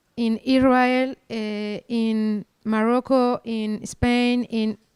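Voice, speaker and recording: Very slow, fairly high-pitched woman with a Spanish accent, monotone and flat, the sound dry and close with no echo. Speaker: archaeologist. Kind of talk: lecture. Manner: halting.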